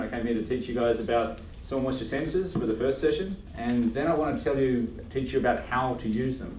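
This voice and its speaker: With an Australian accent, a man talks at a very fast pace in a medium pitch amid noticeable background noise and audible room echo. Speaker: agronomist giving a talk. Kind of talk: lecture. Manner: casual with many fillers.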